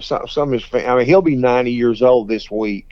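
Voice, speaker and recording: A man with a Texan accent speaks with ordinary pitch variation. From Texas, Fort Worth. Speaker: blues guitarist. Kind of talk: interview.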